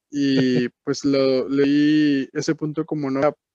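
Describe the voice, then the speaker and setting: The recording has a dry, close sound with no echo, carrying a man's fairly high-pitched voice. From Monterrey, Mexico. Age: young. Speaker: music producer. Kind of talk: casual chat.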